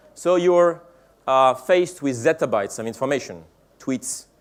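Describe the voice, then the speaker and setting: In a French accent, a man talks at a moderate pace with ordinary pitch variation. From France. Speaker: tech company executive giving keynote. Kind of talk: conference keynote speech. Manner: halting, many fillers.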